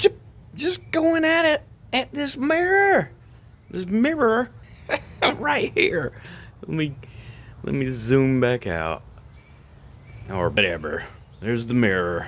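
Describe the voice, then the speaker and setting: A man speaks at a very slow pace. His delivery has long, frequent pauses. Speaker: vlogger. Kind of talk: casual vlog. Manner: quiet.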